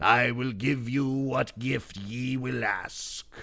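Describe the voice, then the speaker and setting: Putting on a character voice, a man speaks very slowly at a medium pitch with fairly even intonation. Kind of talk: archaic storytelling. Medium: read story.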